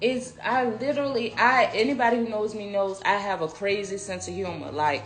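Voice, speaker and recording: A woman's medium-pitched voice with lively intonation at a fairly quick pace, hardly any pauses, audible room echo and noticeable background noise. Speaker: podcast guest. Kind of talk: casual chat. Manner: animated.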